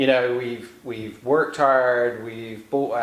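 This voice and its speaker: A man with an English accent, in audible room echo with noticeable background noise. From England. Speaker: author. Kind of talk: interview. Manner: halting.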